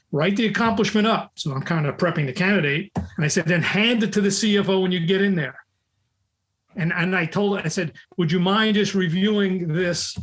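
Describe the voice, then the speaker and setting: With a New York accent, the speaker moves at a fairly quick pace with ordinary pitch variation. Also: man. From US Northeast, New York, the Bronx. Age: 70s. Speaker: recruiting expert and author. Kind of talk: podcast interview. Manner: forceful, in your face.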